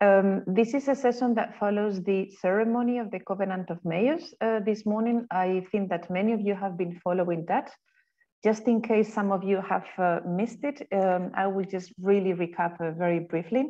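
Moderate pace and ordinary pitch variation over a quiet background. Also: woman. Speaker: session moderator. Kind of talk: event moderation introduction. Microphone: video call.

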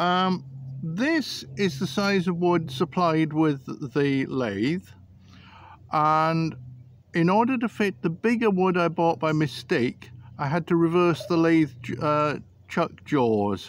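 A man speaks at a very slow pace. The sound is dry, with no echo. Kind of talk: tutorial. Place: garden. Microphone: phone near.

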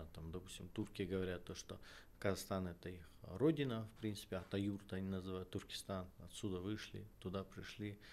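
With a very deep, low voice, a man speaks at a moderate pace and ordinary pitch variation. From Kazakhstan. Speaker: political scientist; guest. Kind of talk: interview. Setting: studio. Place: studio. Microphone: studio mic.

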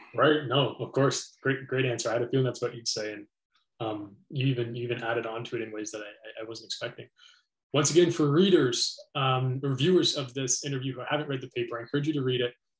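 Against a quiet background, a somewhat breathy man talks at a very fast pace with ordinary pitch variation. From Canada. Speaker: philosophy interviewer, educator. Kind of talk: interview. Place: home room. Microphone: studio mic.

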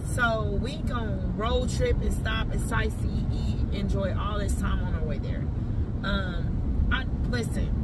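A woman speaks at a very slow pace with ordinary pitch variation. The sound is dry with no echo, though loud background noise is present. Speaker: parent vlogger. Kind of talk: casual vlog chat. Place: car. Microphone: phone near.

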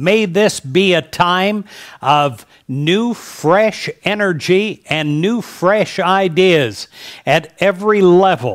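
A man with an American accent talks at a high pitch with ordinary pitch variation. He goes at a very slow pace over a quiet background. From United States. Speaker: prayer leader. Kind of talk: fervent intercessory prayer, rolling 'May this be' petitions. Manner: earnest, uplifting cadence building through repeated invocations; confident declarative affirmations. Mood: warm, uplifting, smiling. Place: studio. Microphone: headset.

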